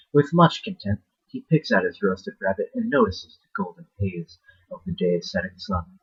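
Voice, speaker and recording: A mumbling man with big swings in loudness, in a dry, close sound with no echo. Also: moderate pace. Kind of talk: horror short story reading.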